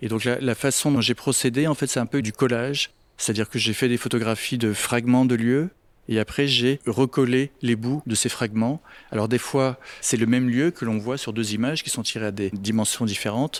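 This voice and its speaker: On a very clean recording with a silent background, a man speaks at a moderate pace and medium pitch with fairly even intonation. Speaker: photographer. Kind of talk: interview answer. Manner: soft-spoken.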